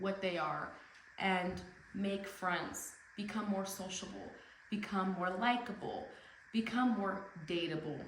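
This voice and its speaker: A woman speaks at a fairly slow pace, leaving long, frequent pauses. Audible room echo and noticeable background noise fill the recording. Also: medium pitch for a woman, fairly even intonation. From Tijuana, Mexico and US. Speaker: speaker. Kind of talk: speech. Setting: stage with audience.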